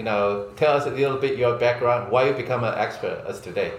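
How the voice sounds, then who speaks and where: Audible room echo surrounds a man with a Chinese accent, his medium pitch showing ordinary variation. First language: Mandarin Chinese. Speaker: podcast host. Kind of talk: interview. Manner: halting English.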